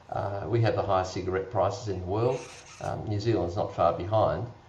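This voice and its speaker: A man talks at a moderate pace in a fairly low pitch with fairly even intonation, leaving long, frequent pauses. Noticeable background noise and audible room echo fill the recording. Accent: Australian. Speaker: doctor. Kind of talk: panel discussion.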